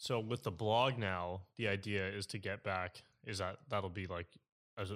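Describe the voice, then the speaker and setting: A man's plain, everyday voice, fairly low in pitch, at a moderate pace on a very clean recording with a silent background. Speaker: podcast host. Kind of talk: casual interview chat.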